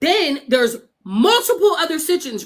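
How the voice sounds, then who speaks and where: A woman speaks loudly in an animated way with a bright, sharp tone. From Pennsylvania. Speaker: livestreamer and mother of missing child. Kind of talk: livestream chat.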